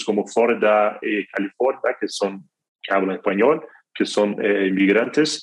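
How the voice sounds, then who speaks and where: A man at a fairly slow pace. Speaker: music distribution executive. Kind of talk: interview. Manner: halting, many fillers and repetitions.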